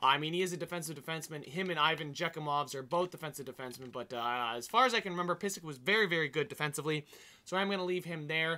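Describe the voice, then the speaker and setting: Talking at a very fast pace, a man has a fairly high pitch, a bright, sharp tone and ordinary pitch variation. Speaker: gaming YouTuber. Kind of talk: gameplay commentary. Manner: clears throat often; casual, filler-heavy.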